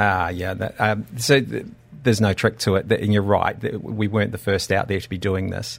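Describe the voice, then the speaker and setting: A man with an Australian accent, fairly low in pitch, at a fairly quick pace with fairly even intonation. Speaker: doctor and company founder. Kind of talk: radio interview. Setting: studio.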